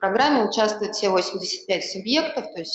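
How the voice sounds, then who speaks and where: A woman is speaking. Room echo can be heard around her voice. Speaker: government ministry official. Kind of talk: panel talk. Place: hall.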